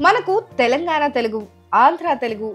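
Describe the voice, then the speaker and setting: Over music in the background, a woman speaks in a high pitch with very wide pitch swings. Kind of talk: news documentary narration.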